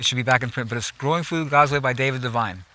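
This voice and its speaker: Speaking at a very fast pace in an American accent, the voice has an animated tone over noticeable background noise. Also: man. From US West Coast, Los Angeles. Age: 70s. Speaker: gardener. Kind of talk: guided garden tour. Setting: outdoors. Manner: halting, repeats words.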